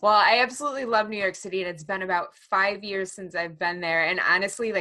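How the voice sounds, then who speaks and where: A woman's bright, sharp voice at a medium pitch, with an American accent, fairly even intonation and a fairly quick pace. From US Midwest, Chicago area. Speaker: podcast host. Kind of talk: interview conversation.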